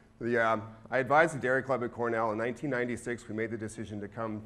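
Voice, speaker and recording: With an American accent, a man at medium pitch talks at a very fast pace. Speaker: professor. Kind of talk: lecture.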